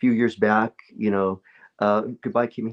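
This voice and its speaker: This man has a fairly low pitch. He speaks with a slight Spanish accent. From California. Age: 50s. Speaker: actor and martial artist. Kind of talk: casual interview chat. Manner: halting, many fillers and repeats.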